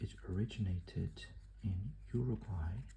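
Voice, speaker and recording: A soft-spoken man whispers over noticeable background noise. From southern Brazil. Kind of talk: ASMR card game tutorial. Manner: whispered, soft-spoken.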